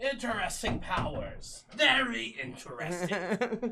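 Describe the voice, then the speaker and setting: The speaker puts on a character voice at a fairly slow pace. Background noise is clearly audible. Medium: actual play. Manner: taunting.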